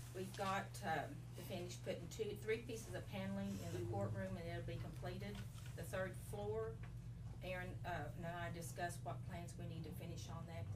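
A woman keeps a fairly quick pace despite the loud background noise. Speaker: county staff giving report. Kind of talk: meeting report. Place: meeting room. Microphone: camera far.

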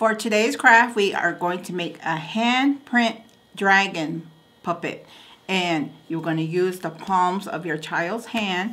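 A woman uses an ordinary speaking voice at a fairly slow pace, with ordinary pitch variation. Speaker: craft instructor. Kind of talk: tutorial. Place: studio.

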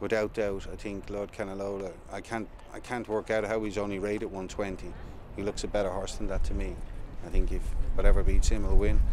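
A man talks at a fairly quick pace with big swings in loudness, in a dry sound with no echo and noticeable background noise. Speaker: racehorse trainer. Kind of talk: interview answer. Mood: calm, measured. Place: stadium.

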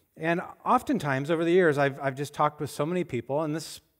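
Over a quiet background, the man's pitch varies in an ordinary way. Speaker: pastor. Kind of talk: sermon. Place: church. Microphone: headset.

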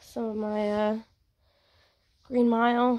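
Speaking at a very slow pace, a woman keeps her intonation monotone and flat. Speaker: vlogger. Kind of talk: casual vlog chat. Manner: weak, congested sick voice. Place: home room. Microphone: phone near.

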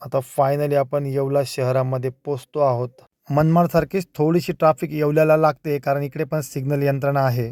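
A fairly high-pitched male voice with flat, monotone intonation. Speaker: vlogger. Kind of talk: travel vlog narration. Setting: in a car.

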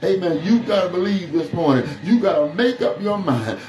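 A man talks at a moderate pace, with light background noise and audible room echo around him. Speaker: pastor. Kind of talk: sermon. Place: empty room.

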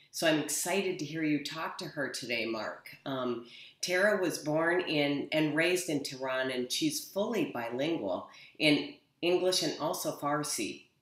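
With audible room echo, a woman speaks at a very deep, low pitch. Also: fairly slow pace, quiet background. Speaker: nonprofit executive director. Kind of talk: speaker introduction. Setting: video call. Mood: warm, welcoming. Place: office. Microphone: webcam.

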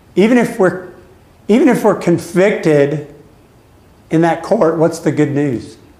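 Speaking at a fairly slow pace with long, frequent pauses, a man uses a high pitch and lively intonation amid audible room echo. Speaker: Bible study leader, church pastor; church pastor. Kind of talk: Bible study lesson with group discussion. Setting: church classroom with group. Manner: conversational, interactive. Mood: calm, reflective. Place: church. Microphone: camera far.

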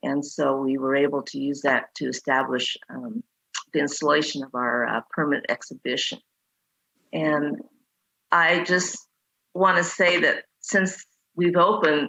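Speaking at a fairly slow pace with long, frequent pauses, the woman has a very deep, low pitch and ordinary pitch variation. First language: Chinese. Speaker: museum founder. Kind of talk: public meeting presentation. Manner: halting, many fillers.

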